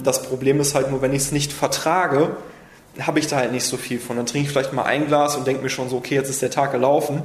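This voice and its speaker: Monotone, flat intonation runs at a very fast pace, with noticeable background noise and audible room echo. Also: man, fairly high pitch for a man. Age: 30s. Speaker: wine merchant. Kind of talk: interview.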